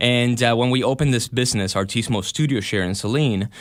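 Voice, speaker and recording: With a Spanish accent, a man of medium pitch speaks at a very fast pace. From Argentina, Buenos Aires. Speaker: videographer and studio owner. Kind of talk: radio interview. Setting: radio studio.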